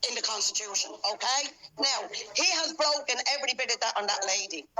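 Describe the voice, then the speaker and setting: Loud and high-pitched, a woman with a Dublin accent speaks with lively intonation against noticeable background noise. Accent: Dublin Irish. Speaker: mask-exempt protester. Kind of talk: heated argument with police. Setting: phone shop, face to face with police. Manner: forceful.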